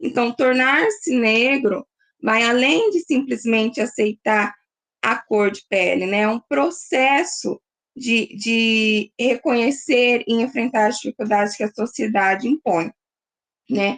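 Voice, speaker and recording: Dry and close with no echo, a woman's voice comes at a fairly high pitch and a very slow pace, with ordinary pitch variation. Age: 20s. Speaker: graduate student presenting at a seminar. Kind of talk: academic seminar presentation. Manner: halting, many fillers.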